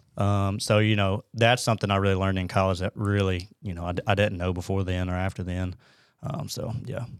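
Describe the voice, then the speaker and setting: A plain, everyday voice with an American accent moves at a fairly quick pace with fairly even intonation. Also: man, fairly low pitch for a man. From US South, northern Alabama (Huntsville). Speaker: wildlife biologist. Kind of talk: casual interview.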